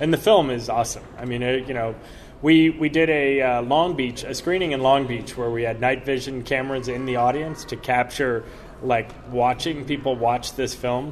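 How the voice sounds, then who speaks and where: A man's medium-pitched voice keeps a fairly even intonation and a moderate pace, with noticeable noise in the background. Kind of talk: interview, casual chat. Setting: convention, recorded at a comic con.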